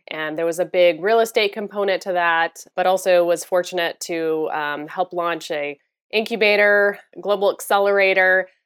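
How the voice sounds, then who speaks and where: A woman with an American accent speaks in an unremarkable speaking voice at a fairly slow pace, medium in pitch with ordinary pitch variation. The recording is very clean and dry, with a close sound, no echo, and a silent background. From Florida. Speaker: business incubator president. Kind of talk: interview.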